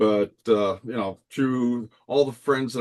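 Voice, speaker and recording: A man with an ordinary speaking voice talks at medium pitch and a moderate pace, his intonation fairly even. The background is quiet, and the sound is dry and close with no echo. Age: 50s. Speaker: landscape architecture subcontractor and Disney collector. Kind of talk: casual chat.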